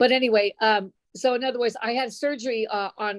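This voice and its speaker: With a fairly high pitch and fairly even intonation, a woman speaks in an unremarkable speaking voice. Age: 60s. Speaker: patient sharing testimonial. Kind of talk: testimony.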